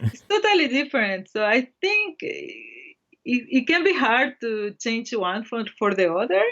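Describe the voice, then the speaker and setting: Here a woman with a Spanish accent speaks at a high pitch and a moderate pace. Her pitch swings very widely and her loudness rises and falls a lot. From El Salvador, small town. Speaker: Japanese language teacher. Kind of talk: casual chat.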